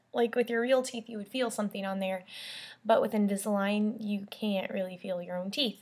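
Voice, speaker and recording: A somewhat breathy woman with a fairly high pitch, fairly even intonation and a fairly quick pace. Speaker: vlogger. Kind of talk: casual video update.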